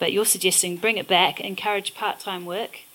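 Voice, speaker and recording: At a fairly quick pace, a woman with a medium-pitched voice and a New Zealand accent speaks with fairly even intonation. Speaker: moderator and professor. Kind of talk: moderated onstage conversation. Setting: stage with audience.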